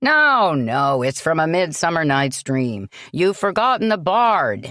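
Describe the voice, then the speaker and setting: In a very clean recording with a silent background, a woman puts on a booming character voice, fairly low in pitch, at a fairly slow pace with very even loudness and very wide pitch swings. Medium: read story. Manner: hearty.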